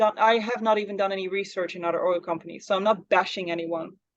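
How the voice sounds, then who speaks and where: A woman speaks with a Dutch accent. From Netherlands. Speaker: psychic medium and spiritual mentor. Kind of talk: interview. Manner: halting.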